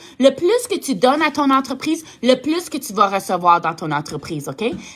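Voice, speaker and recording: The voice has a bright, sharp tone and very wide pitch swings. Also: woman. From Ontario, Canada (Franco-Ontarian). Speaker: direct sales team leader. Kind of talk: motivational talk to sales team. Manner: halting, searches for words; warm, enthusiastic.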